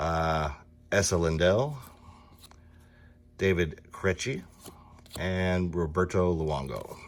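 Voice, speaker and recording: Very deep, low male voice in an American accent, very slow, with long, frequent pauses. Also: ordinary pitch variation. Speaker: sports card collector, box break host. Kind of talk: casual card-opening commentary. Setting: card and gaming shop.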